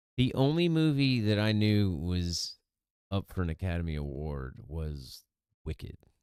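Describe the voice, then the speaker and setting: Mumbling at a fairly slow pace, a man talks in a very deep, low voice. His pitch swings very widely. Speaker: news commentary streamer. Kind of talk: casual news commentary. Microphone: testing new mic settings, worried about popping.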